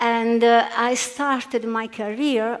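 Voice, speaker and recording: The speaker is a woman. She has an Italian accent. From Italy. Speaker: physicist. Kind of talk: panel discussion. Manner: halting, many fillers.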